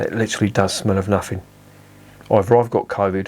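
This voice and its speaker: Speaking at a moderate pace, the man has a fairly low pitch and a monotone, flat intonation. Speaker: beer reviewer. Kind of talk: casual review monologue.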